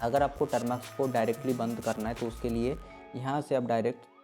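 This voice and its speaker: A man speaks at a medium pitch with fairly even intonation while music plays in the background. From West Bengal, India. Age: 20s. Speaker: ethical hacking instructor. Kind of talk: tech tutorial talk to camera.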